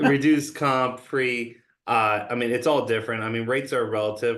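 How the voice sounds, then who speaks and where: A man talks at a fairly quick pace with fairly even intonation. He has an ordinary speaking voice. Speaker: mortgage lender. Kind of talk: interview answer.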